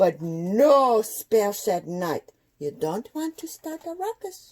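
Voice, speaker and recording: A woman's put-on character voice, fairly high-pitched, very slow, with very wide pitch swings. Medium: read story. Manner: gentle, teacherly.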